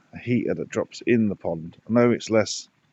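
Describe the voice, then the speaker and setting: Speaking at a moderate pace, a man with a medium pitch talks with an English accent. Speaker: pond keeper vlogger. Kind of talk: casual vlog narration.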